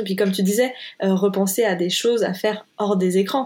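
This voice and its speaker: Against a silent background on a very clean recording, someone talks at a moderate pace. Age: 20s. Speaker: podcast host. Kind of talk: interview.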